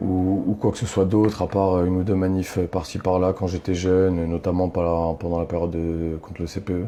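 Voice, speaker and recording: A man's very deep, low pitch in monotone, flat intonation, moderate pace, hardly any pauses. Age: 30s. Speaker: activist. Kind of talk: interview. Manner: halting, many fillers.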